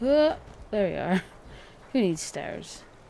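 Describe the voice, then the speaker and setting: Lively intonation colors this woman's speech. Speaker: gaming video creator. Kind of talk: let's play commentary. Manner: quiet, subdued.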